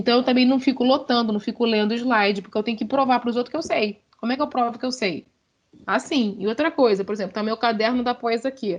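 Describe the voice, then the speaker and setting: A woman with a high pitch speaks in an animated tone at a fairly quick pace. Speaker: university lecturer. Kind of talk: online lecture. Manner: fast.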